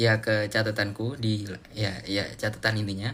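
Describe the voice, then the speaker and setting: A man speaks at a medium pitch. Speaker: live streamer, student. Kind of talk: casual live stream chat. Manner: casual, halting with fillers.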